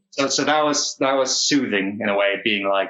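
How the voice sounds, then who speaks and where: A man with a Danish accent speaks with ordinary pitch variation. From Denmark, Odense area. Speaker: actor. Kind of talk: casual chat. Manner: halting.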